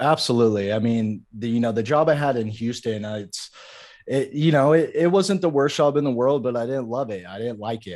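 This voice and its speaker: Here is an unremarkable speaking voice with lively intonation. It moves at a fairly quick pace. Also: man, big swings in loudness. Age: 30s. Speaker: content creator and Twitch streamer. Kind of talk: casual interview chat.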